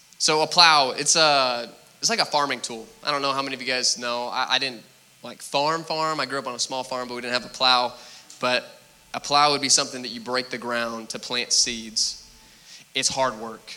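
Medium-pitched male speech at a moderate pace with fairly even intonation over noticeable background noise. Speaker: preacher. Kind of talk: sermon. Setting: church. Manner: mumbling.

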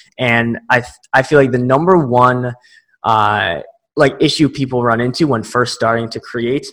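A man with a plain, everyday voice speaks at a moderate pace, at a medium pitch and with fairly even intonation. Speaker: marketing guest.

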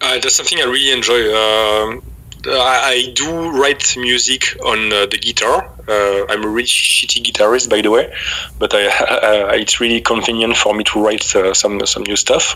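Spoken with a French accent and fairly even intonation, the clip carries noticeable background noise. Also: man, medium pitch for a man, moderate pace, very even loudness. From France. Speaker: metal band vocalist and bassist. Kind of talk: interview. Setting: video call. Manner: halting.

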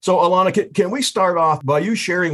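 This man's voice is somewhat breathy, and his intonation is lively. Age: 70s. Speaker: podcast host, financial advisor. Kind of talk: casual interview.

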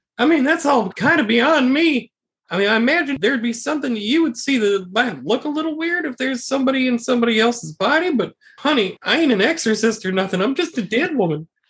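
A man does a put-on character voice at an extremely high pitch. He talks at a very fast pace. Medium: actual play. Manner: folksy, casual, warm.

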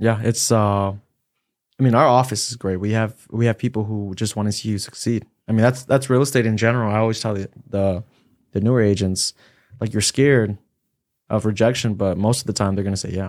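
A man with an unremarkable speaking voice talks fairly quickly at a fairly low pitch with fairly even intonation, in a very clean recording with a silent background. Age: 20s. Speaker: real estate agent. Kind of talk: casual chat.

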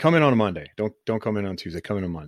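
Recorded very cleanly against a silent background, a man speaks with a Midwestern American accent in a dry, close sound with no echo. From Ohio, US (Canton). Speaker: podcast co-host. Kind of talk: casual chat. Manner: animated.

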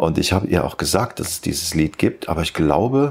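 A man's very deep, low voice with vocal fry and very wide pitch swings. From Germany, Eifel region (near Neuerburg). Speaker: rock musician. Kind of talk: interview.

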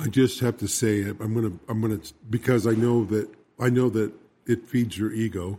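A man talks at a moderate pace in a medium pitch. His tone is dark and mellow, and his intonation stays fairly even. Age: 60s. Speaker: radio co-host. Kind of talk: casual chat. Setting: radio studio.

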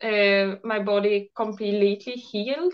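A woman with a Swedish accent at a very slow pace against a quiet background. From Sweden. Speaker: raw food chef and blogger. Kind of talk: casual interview chat. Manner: hesitant, halting with fillers.

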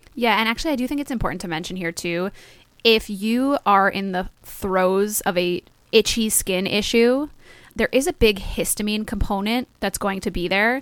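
A woman speaks in a New Jersey accent. Her pitch is fairly high. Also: ordinary pitch variation, moderate pace. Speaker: podcast co-host. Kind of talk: casual chat.

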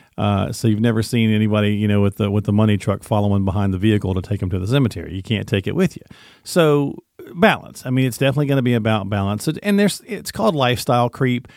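A man with a fairly low pitch rattles along at a very fast pace, his pitch varying in an ordinary way. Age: 50s. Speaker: podcast co-host. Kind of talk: casual chat.

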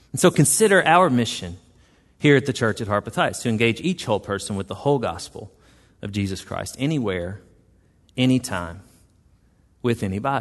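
Speaking fairly quickly with lively intonation and long, frequent pauses, a man with a Southern US accent is heard against a quiet background. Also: medium pitch for a man. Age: 40s. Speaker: pastor. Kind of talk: sermon. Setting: church.

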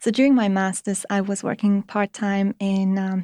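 Flat and monotone, the voice has a dark, mellow tone and a fairly quick pace with a Polish accent, in a very clean recording with a silent background. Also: woman, dry, close sound with no echo. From Poland. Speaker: materials research assistant. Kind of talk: interview. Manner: hesitant, many fillers.

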